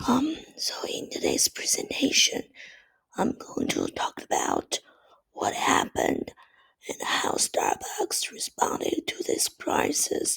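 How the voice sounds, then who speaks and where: Someone is whispering. The pace is very slow. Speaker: student presenter. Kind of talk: class presentation. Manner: halting, with fillers.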